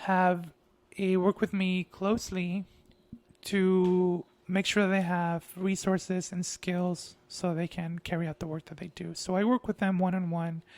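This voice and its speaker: A man with a high pitch speaks monotone and flat at a fairly slow pace, in a dry, close sound with no echo. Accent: Spanish. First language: Spanish. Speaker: artist and grant writing consultant. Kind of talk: casual monologue.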